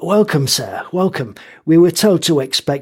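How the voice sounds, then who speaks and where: A man's raspy, high-pitched put-on character voice at a moderate pace, with lively intonation. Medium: read story. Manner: curt, commanding.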